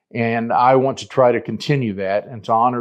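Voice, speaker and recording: Against a quiet background, a man with an American accent and a medium pitch speaks at a fairly quick pace. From Oklahoma. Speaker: livestock market analyst, board candidate; livestock market analyst, candidate. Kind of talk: campaign statement. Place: office. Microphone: lapel.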